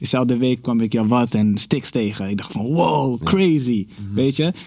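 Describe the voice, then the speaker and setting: This man has a plain, everyday voice. His pitch is medium, with ordinary variation. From Netherlands, North Holland (village near Alkmaar). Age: 30s. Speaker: podcast guest. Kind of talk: casual chat.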